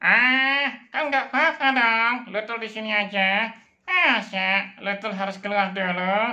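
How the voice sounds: A man puts on a character voice with high pitch. He delivers it at a fairly slow pace.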